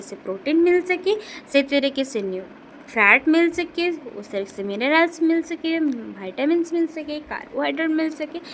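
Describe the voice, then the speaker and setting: The speaker has a non-native accent and very wide pitch swings. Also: woman. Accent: non-native Hindi. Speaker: nursing tutor, YouTuber. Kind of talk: tutorial. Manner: halting, with fillers.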